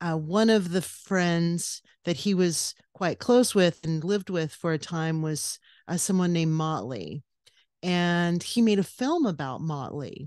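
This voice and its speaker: A woman with a normal speaking voice and an American accent talks at a fairly slow pace. Her pitch is fairly low, with ordinary pitch variation, over a quiet background. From California, US. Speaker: podcast co-host, guest. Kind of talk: casual interview chat.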